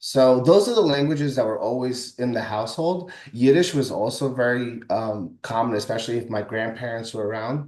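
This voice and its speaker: A man at a fairly quick pace with hardly any pauses and ordinary pitch variation. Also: medium pitch for a man. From Brooklyn, New York, US. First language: French. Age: young. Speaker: musician and songwriter. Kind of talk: interview. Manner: halting.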